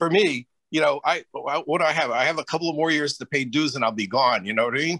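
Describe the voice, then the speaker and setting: A man talks at a very fast pace in a fairly high pitch with ordinary pitch variation. His tone is bright and sharp, and the background is quiet. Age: 70s. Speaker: veteran ski instructor. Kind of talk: meeting discussion. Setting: video call. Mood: friendly, earnest. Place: home room. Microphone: video call.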